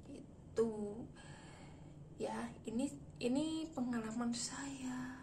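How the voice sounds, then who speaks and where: A woman with a fairly high pitch and lively intonation speaks amid noticeable background noise and audible room echo. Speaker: vlogger. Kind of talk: casual storytelling vlog. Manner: fast.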